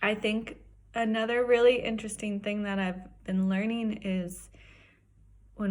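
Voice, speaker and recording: Somewhat breathy and monotone, a woman speaks at medium pitch with flat intonation amid audible room echo. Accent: American. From Wyoming, US. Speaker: professional skier. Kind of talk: personal testimony.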